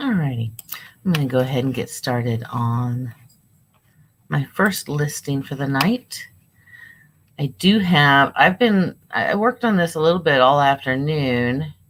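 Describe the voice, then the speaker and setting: On a very clean recording with a silent background, a woman speaks fairly slowly at a very deep, low pitch, her intonation lively and broken by long, frequent pauses. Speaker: online reseller livestreamer. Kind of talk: casual livestream chat while listing items. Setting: live stream from home. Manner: casual, with fillers.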